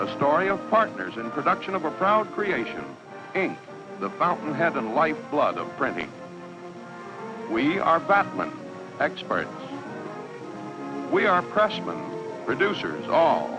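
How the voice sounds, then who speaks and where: Over music in the background, a man talks at a fairly slow pace with long, frequent pauses. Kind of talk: corporate documentary narration.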